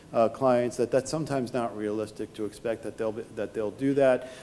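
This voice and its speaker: Speaking at a very fast pace in a New York accent, a man shows ordinary pitch variation. Noticeable background noise is present. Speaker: tax lawyer. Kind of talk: conference talk. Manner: halting, with repetitions and fillers.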